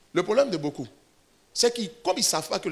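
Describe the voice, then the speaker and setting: A man talking at a very fast pace, with very wide pitch swings. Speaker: pastor. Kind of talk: sermon.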